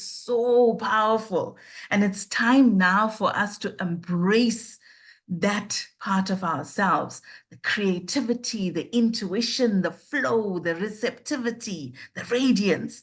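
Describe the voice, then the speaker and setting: Against a quiet background, a woman speaks at medium pitch, somewhat breathy. Her pace is fairly slow, with ordinary pitch variation. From South Africa. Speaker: life coach. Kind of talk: interview.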